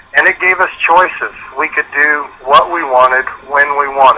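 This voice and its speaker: Noticeable background noise surrounds a man's fairly high voice. His pace is fairly slow, with ordinary pitch variation. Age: 60s. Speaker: business opportunity distributor. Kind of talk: testimonial on a conference call.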